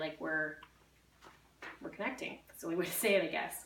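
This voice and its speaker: A woman is speaking with audible room echo. Noticeable background noise is present. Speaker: direct sales consultant. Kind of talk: workshop talk. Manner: fast; casual, filler-heavy.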